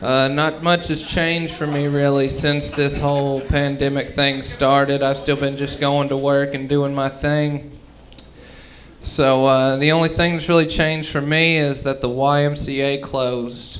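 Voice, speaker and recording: Audible room echo surrounds a man's fairly high-pitched voice. He talks at a fairly slow pace with monotone, flat intonation. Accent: American. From US South (Mississippi). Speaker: stand-up comedian. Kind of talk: stand-up. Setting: stage with audience.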